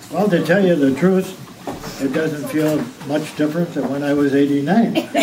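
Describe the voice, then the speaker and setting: Audible room echo and noticeable background noise surround a man speaking at a moderate pace, his fairly high pitch showing ordinary variation. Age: 80s+. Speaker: birthday celebrant giving a speech. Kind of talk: birthday speech to family. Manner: halting, with repeated words.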